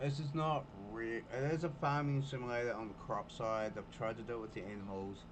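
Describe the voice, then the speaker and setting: Audible room echo surrounds a man with a medium pitch. He talks at a moderate pace with ordinary pitch variation. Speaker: gaming streamer. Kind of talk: live game commentary. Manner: casual, chatty.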